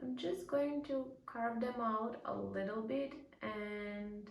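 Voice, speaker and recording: Audible room echo surrounds a woman with a non-native accent whose high voice shows ordinary pitch variation. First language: not English. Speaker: beauty vlogger. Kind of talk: makeup tutorial. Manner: casual, with frequent fillers.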